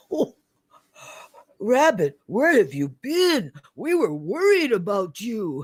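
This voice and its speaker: Putting on a character voice, a man speaks at a high pitch with very wide pitch swings, a fairly slow pace and long, frequent pauses. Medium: read story.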